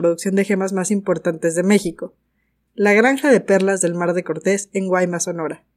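At a fairly quick pace, a woman talks in a medium pitch in an ordinary speaking voice. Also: very clean recording, silent background. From Mexico. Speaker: podcast host, gemologist. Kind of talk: scripted narration.

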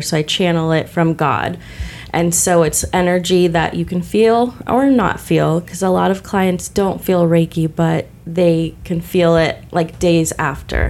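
A woman talks at a moderate pace with a Midwestern US accent. Her pitch sits fairly low. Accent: US Midwest. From Illinois, Decatur. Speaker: author and spiritual healer. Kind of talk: casual chat.

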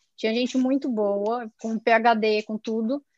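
Recorded with a dry, close sound and no echo, a woman is speaking. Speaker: ophthalmologist. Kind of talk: storytelling in interview.

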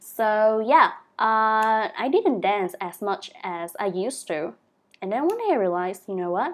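A woman with a Vietnamese accent at a fairly high pitch, fairly slow and with lively intonation, on a very clean recording with a silent background. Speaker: sex educator and dance instructor. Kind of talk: interview. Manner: halting.

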